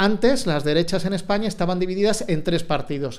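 Ordinary pitch variation colors this man's high-pitched speech. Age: 40s. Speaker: journalist. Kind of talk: interview.

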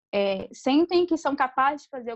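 A woman speaks in a high voice with music playing in the background. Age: 20s. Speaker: entrepreneur. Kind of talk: interview.

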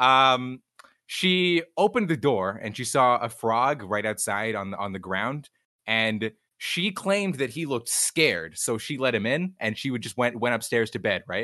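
A man with an American accent at medium pitch, bright and sharp in tone, with lively intonation over a quiet background. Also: moderate pace. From US South, Georgia (near Atlanta). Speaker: streamer. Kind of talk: livestreamed interview. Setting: live stream with chat.

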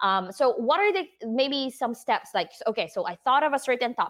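A woman speaks at a moderate pace. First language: not English. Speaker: podcast host and design business owner. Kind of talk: casual interview chat. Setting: live video stream. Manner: animated.

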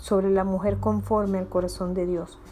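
The woman's voice has a dark, mellow tone. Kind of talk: reading aloud. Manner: informal.

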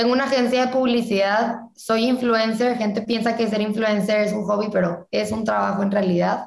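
Audible room echo colors a woman's fairly high voice. She talks at a fairly quick pace with ordinary pitch variation. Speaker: student entrepreneur. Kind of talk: casual interview chat.

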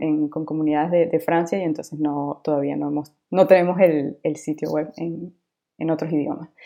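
This woman's voice is very deep and low in pitch. She speaks with monotone, flat intonation. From Venezuela. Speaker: UX designer. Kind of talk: interview.

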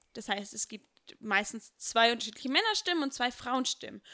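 A woman with a high pitch and a bright, sharp tone talks at a fairly quick pace in a very clean recording with a silent background. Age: 20s. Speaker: church member and singer. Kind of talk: casual chat.

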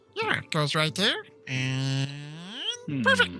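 Over music in the background, a put-on character voice speaks at a fairly slow pace with low-to-middle pitch. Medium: actual play. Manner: bossy, fussy.

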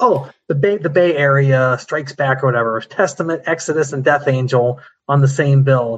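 This man has a fairly high pitch and a somewhat breathy voice, talking at a moderate pace with ordinary pitch variation. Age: 50s. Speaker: metal fan, former music writer. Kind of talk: casual chat.

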